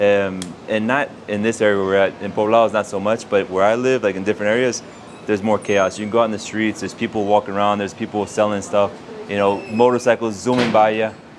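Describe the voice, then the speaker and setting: In a Texan accent, a man talks very fast in a fairly low, flat monotone over noticeable background noise. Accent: Texan American English. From Texas (Houston). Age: 30s. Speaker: expat YouTuber. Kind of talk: interview.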